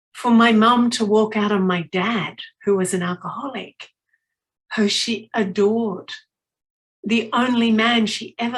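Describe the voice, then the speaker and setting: A somewhat breathy woman's voice, fairly high in pitch, fairly slow, and with fairly even intonation. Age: 60s. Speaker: motivational speaker. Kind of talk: inspirational talk at a retreat.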